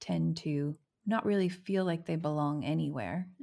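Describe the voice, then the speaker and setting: A woman with a very deep, low pitch swings her pitch very widely, recorded very cleanly against a silent background. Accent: American. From United States. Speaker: missionary church planter. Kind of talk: interview conversation.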